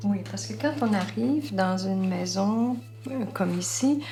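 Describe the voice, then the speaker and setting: A woman speaks at a very slow pace with music in the background. Audible room echo surrounds her voice. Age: 70s. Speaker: retirement home resident. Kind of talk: testimony.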